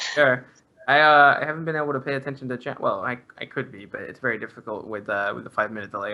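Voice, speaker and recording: A man talks at a very fast pace. His loudness swings widely. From Australia. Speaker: esports commentator. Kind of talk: live commentary. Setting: live stream.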